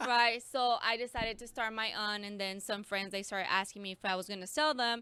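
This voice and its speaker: Her pace is fairly quick, with hardly any pauses. The woman keeps a fairly high pitch and fairly even intonation. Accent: Mexican. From Mexico, San Luis Potosí. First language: Spanish. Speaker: schoolteacher. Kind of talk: casual interview chat.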